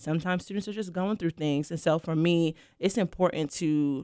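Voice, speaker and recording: A woman with a fairly low pitch and ordinary pitch variation talks at a fairly quick pace in an ordinary speaking voice, in a very clean recording with a silent background and a dry, close sound with no echo. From Brooklyn, New York. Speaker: university student conduct director. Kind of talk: casual interview.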